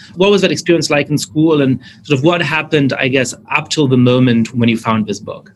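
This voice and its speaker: Here is a man with a plain, everyday voice at a fairly high pitch. He moves at a fairly quick pace. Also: ordinary pitch variation, hardly any pauses. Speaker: podcast host. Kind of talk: interview conversation.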